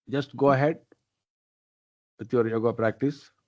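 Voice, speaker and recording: A man speaks at a fairly slow pace with a non-native accent and a dark, mellow tone. His intonation stays fairly even against a quiet background. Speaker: guru. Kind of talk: spiritual counselling.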